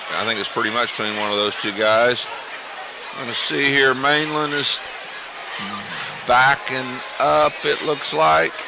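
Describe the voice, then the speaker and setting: A man at a medium pitch with lively intonation, a fairly slow pace and long, frequent pauses, with music in the background. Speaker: high school football color commentator. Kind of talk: live commentary.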